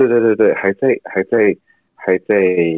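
The man speaks with a Cantonese accent. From Hong Kong. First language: Cantonese (speaking Chinese). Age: 20s. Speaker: actor. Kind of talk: interview. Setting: video call.

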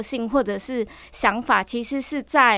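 In a very clean recording with a silent background, a woman speaks at a fairly slow pace. Her pitch is high. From Matsu islands, Nangan. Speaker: YouTuber. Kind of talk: casual chat.

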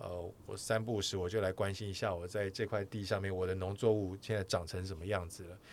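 A man with an unremarkable speaking voice talks at a moderate pace in a fairly low pitch, on a very clean recording with a silent background. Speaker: podcast host, sports broadcaster. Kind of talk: casual chat.

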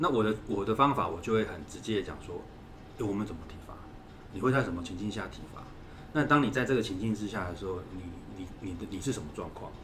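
Audible room echo surrounds a man with a fairly low pitch who talks at a very fast pace broken by long, frequent pauses, with ordinary pitch variation and big swings in loudness. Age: 40s. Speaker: parenting consultant and author. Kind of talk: interview.

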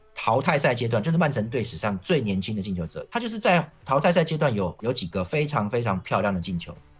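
With music in the background, the speaker talks at a very fast pace, the pitch swinging very widely. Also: man, medium pitch for a man. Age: 40s. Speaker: football columnist. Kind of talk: casual chat.

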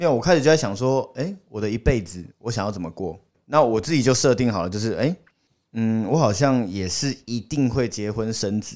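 Here is a man with an unremarkable speaking voice, medium in pitch, talking at a fairly quick pace. His intonation is lively, and the recording is very clean with a silent background. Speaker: podcast guest, old school friend of hosts. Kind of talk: casual chat.

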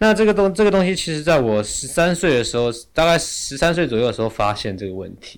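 A man rushes along at a very fast pace with hardly any pauses, his fairly high voice making very wide pitch swings and big swings in loudness. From Taiwan, Yilan. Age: 30s. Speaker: travel writer and speaker. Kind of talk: interview conversation. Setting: studio.

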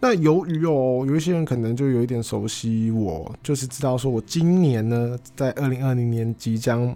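A man at a medium pitch, moderate pace and ordinary pitch variation, hardly any pauses, music in the background. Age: 20s. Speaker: podcaster. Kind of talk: casual solo monologue.

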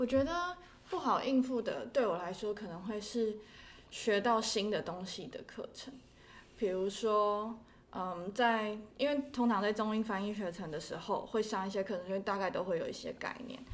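A woman has an ordinary speaking voice, fairly high in pitch. She talks at a moderate pace with ordinary pitch variation. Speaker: interpreting graduate student. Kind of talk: casual interview.

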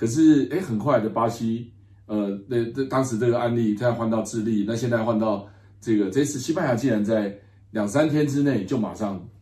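Medium-pitched man with a dark, mellow tone, ordinary pitch variation and a moderate pace, in a room with audible echo. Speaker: political science professor. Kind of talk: interview. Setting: Madrid, climate conference.

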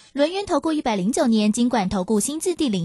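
With a Taiwanese accent, the woman's voice travels through very wide pitch swings. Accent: Taiwanese Mandarin. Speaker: radio host. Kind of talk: radio interview. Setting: radio studio.

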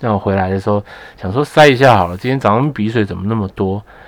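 With noticeable background noise, a man speaks at a fairly low pitch with fairly even intonation. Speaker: podcast co-host. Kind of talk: casual chat. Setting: small room at home, masked.

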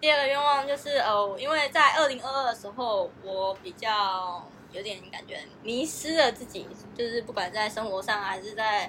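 Music plays behind a woman with a fairly high pitch and lively intonation. Her loudness swings a lot, and her pace is moderate. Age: 20s. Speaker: advertising office worker, podcast co-host. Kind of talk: casual chat.

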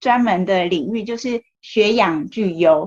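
A normal speaking voice at a fairly slow pace with lively intonation. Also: woman. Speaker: podcast host. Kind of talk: interview. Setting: remote recording in Taipei.

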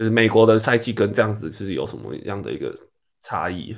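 With a quiet background, a man talks at a fairly quick pace. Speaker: podcast host, former tennis player. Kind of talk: casual chat.

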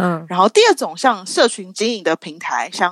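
Against a quiet background, a woman with a medium pitch and an ordinary speaking voice talks at a moderate pace. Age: 30s. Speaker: marketer for a skincare brand. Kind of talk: casual interview chat.

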